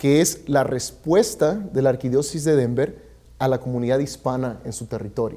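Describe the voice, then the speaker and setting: A man with a fairly high, dark, mellow voice talks at a moderate pace against a quiet background. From Mexico (Michoacán). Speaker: community services director; guest. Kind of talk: interview. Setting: studio. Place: studio. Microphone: lapel.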